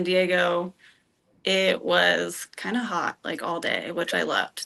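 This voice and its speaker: A woman's bright, sharp tone with an American accent, over a quiet background. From Colorado. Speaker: dating show contestant. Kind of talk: casual date conversation.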